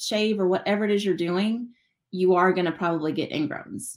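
A woman with an American accent and a normal speaking voice, ordinary pitch variation and a moderate pace, on a very clean recording with a silent background. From West Texas. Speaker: business owner. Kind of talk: interview.

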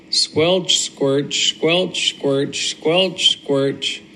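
A man talks at a very slow pace in a warm, gentle tone. Noticeable background noise sits behind him. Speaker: grandfather. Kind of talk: bedtime story read aloud to a child, recorded as a video message. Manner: animated, playful, with sound-effect noises and dramatic pauses; warm, sing-song repetition with a gentle, coaxing tone.

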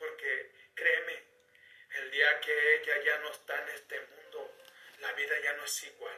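A man talks at a fairly slow pace. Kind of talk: testimony. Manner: heartfelt, slow and emotional, with a sincere, pleading tone.

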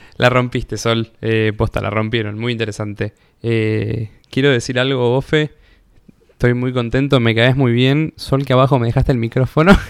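A man speaks at a moderate pace with a plain, everyday voice and a medium pitch. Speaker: podcast co-host. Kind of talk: casual chat.

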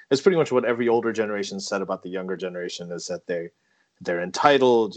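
A man's medium-pitched voice, with ordinary pitch variation, comes across over a quiet background. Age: 40s. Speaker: podcast host. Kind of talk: casual interview. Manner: hesitant, many fillers.

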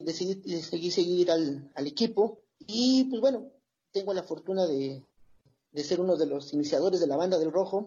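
A high-pitched man at a moderate pace, with lively intonation. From Toluca, Mexico. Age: 40s. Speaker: football supporters' group member. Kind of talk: casual chat.

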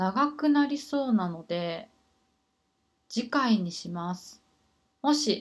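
A woman with lively intonation in a very clean recording with a silent background. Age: 30s. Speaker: life coach. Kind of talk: casual monologue. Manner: hesitant.

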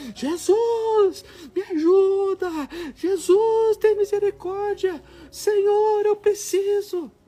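Squeaky and extremely high-pitched, this put-on character voice creeps along at a very slow pace. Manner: shouting, pleading.

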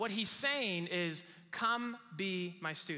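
In a raised, projected voice, a man speaks with a high pitch, ordinary pitch variation and a bright, sharp tone. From Mexico. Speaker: pastor. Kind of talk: sermon. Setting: church service in a small room. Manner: animated.

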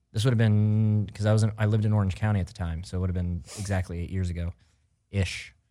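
A man's fairly low, dark, mellow voice at a very fast pace, with fairly even intonation, in a very clean recording over a silent background. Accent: American. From US Midwest (Missouri). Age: 30s. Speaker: radio co-host. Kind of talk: casual chat.

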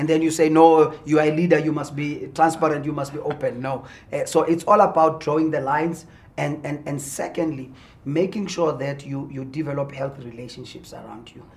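A man speaks at a fairly quick pace with a fairly high pitch and a somewhat breathy sound. His intonation is fairly even, while his loudness swings widely. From South Africa, Mpumalanga. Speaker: pastor and businessman. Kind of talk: interview. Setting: studio.

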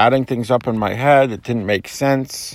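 A man with an ordinary speaking voice at a medium pitch and fairly even intonation, on a very clean recording with a silent background. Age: 40s. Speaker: person sharing experience of OCD. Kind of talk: personal testimony.

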